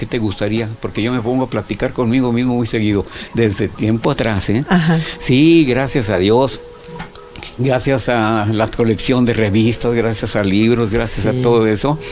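Over faint background music, a man talks at a fairly slow pace with fairly even intonation. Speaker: interview guest, former TV host. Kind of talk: interview answer. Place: studio.

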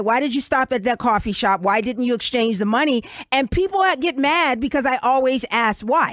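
Moderate-paced speech in an American accent, with very even loudness, ordinary pitch variation and hardly any pauses, dry with no echo over a quiet background. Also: woman. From New York. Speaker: talk radio host. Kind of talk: radio interview. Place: studio.

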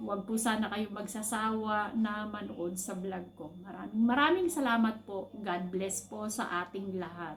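There is audible room echo and noticeable background noise as a woman speaks with ordinary pitch variation and hardly any pauses. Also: medium pitch for a woman, fairly slow pace. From Philippines. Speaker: overseas worker vlogger, caregiver. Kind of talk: personal vlog monologue.

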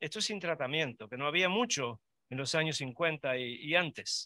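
A man's bright, sharp tone at a fairly slow pace, in a very clean recording with a silent background. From Uruguay. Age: 70s. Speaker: vascular surgeon. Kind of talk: lecture.

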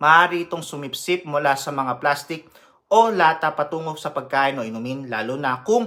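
Speaking at a moderate pace with a Filipino accent, the man has a fairly high pitch and a bright, sharp tone. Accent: Filipino (Tagalog). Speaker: nurse educator. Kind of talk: health education lecture. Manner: formal.

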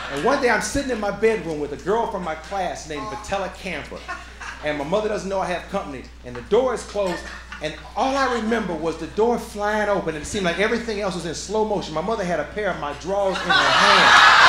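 A raised, projected voice at a very fast pace with ordinary pitch variation, over noticeable background noise. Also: man. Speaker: stand-up comedian. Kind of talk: stand-up comedy routine. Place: stage. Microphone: handheld.

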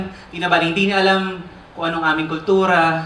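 A man speaks at a fairly quick pace with audible room echo. Light background noise can be heard. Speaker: spoken word poet. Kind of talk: spoken word poetry performance. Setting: live theater stage. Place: stage.

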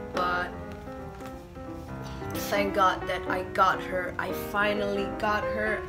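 Clear music plays in the background. A woman speaks at a very slow pace with long, frequent pauses. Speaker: doll collector. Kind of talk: casual unboxing talk to camera. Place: home room. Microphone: phone near.

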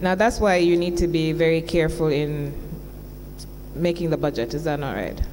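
A woman speaks in a normal speaking voice at a fairly low pitch, with ordinary pitch variation. Light noise sits in the background. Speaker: witness. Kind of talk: formal cross-examination questioning. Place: hall. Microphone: podium.

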